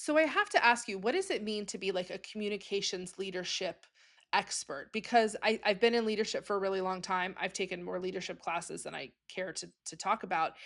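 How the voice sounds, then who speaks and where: The recording is very clean with a silent background, and the pace is fairly quick. Loudness swings widely while pitch varies in an ordinary way. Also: woman, medium pitch for a woman. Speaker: podcast host. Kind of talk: casual chat. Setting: traveling, away from home studio.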